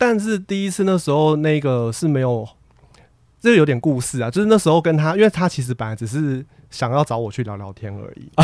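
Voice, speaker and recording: Recorded very cleanly against a silent background, a man with a fairly high pitch speaks at a moderate pace, his pitch swinging very widely and his loudness rising and falling in big swings. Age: 30s. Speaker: university professor. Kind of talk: casual interview chat.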